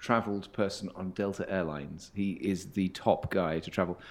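A man talks at a moderate pace in an ordinary speaking voice with ordinary pitch variation, on a very clean recording with a silent background. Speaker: interviewer, host. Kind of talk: interview conversation.

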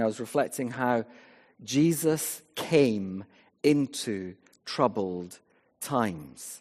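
A man with a west of Scotland accent, lively intonation and a quiet background. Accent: Scottish (west of Scotland). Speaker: vicar. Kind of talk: sermon. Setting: church.

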